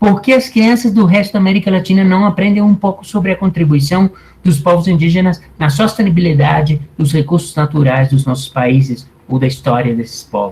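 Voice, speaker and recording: A man's high-pitched, lively speech at a moderate pace with hardly any pauses. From Colombia. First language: Spanish (speaking Portuguese). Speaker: anthropology professor. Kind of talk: lecture.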